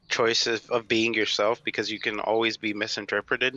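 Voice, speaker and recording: A man speaks at a moderate pace with a medium pitch and a bright, sharp tone. The sound is dry and close with no echo, over a quiet background. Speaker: streamer. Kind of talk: casual chat. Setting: live stream interview. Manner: low energy.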